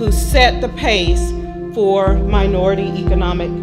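Loud music plays in the background as a woman speaks. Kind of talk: event speech. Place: hall. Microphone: handheld.

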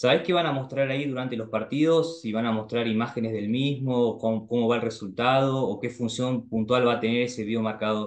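At a fairly quick pace and with hardly any pauses, a man of medium pitch talks with fairly even intonation. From Argentina. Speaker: YouTuber. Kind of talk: casual chat.

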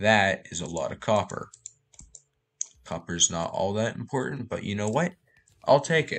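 At a moderate pace, a man with a fairly low pitch speaks with very wide pitch swings and long, frequent pauses. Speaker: gaming youtuber. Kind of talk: gameplay commentary. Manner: low-energy.

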